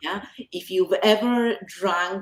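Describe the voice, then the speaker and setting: A woman with an Argentine accent speaks at a medium pitch with lively intonation. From Argentina. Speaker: author. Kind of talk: casual chat.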